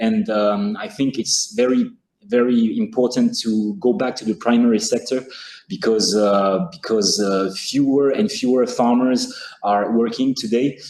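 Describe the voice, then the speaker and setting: With a French accent, a man speaks at a fairly slow pace from a medium pitch, his voice making very wide pitch swings. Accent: French, non-native English. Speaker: school food program speaker. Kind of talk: webinar presentation. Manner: halting.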